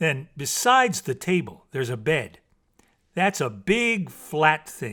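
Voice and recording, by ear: In a put-on character voice, a man speaks slowly with a bright, sharp tone, fairly high pitch and big pitch swings, on a very clean recording with a silent background.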